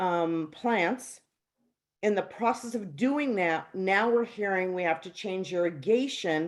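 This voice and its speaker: In a normal speaking voice, a woman talks at a fairly slow pace, her medium pitch moving with lively intonation. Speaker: resident caller at town hall. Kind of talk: public meeting question.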